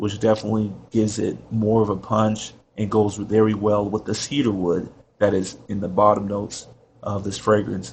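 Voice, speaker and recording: At a moderate pace, a man speaks in a fairly low, somewhat breathy voice with monotone, flat intonation. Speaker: fragrance reviewer. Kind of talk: product review. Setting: at work.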